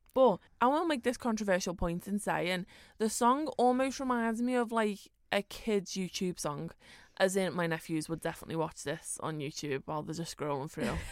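With a Liverpool accent, a woman speaks at a moderate pace with very wide pitch swings on a very clean recording with a silent background. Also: medium pitch for a woman. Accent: Scouse. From Liverpool, England. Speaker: podcast co-host. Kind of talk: casual chat.

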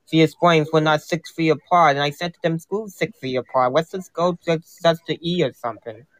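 A man's normal speaking voice with an American accent, fairly high pitch and fairly even intonation at a moderate pace, in a dry, close sound with no echo. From US Northeast. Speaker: caller. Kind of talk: casual chat. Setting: live stream call-in.

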